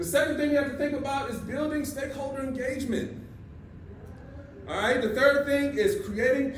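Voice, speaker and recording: A man's extremely high-pitched, animated voice with audible room echo and noticeable background noise. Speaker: business leader and conference speaker. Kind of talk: conference talk. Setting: stage with audience.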